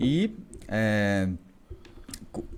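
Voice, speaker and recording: This is a man speaking. His pitch is fairly low. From interior of São Paulo state, Brazil (Fernandópolis). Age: 40s. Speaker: medical doctor. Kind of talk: podcast interview.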